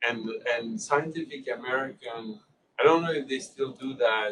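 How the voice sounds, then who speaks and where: A man with a French accent speaks at a fairly slow pace. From Switzerland (French-speaking, Geneva). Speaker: public health scientist and journal editor. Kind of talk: informal small group Q&A discussion. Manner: halting, with repetitions and fillers.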